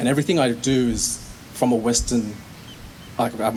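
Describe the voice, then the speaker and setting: A man with an Australian accent speaks at a medium pitch. His intonation stays fairly even over noticeable background noise. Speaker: poet and dancer. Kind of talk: casual talk to audience; spoken word poetry performance. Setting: stage with audience.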